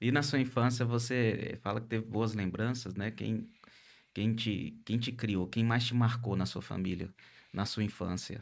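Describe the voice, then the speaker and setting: A normal speaking voice at a fairly slow pace, with fairly even intonation, on a very clean recording with a silent background. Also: man, medium pitch for a man. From northern Minas Gerais, Brazil. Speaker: podcast host, coach. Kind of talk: interview podcast, casual chat. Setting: studio, live-streamed.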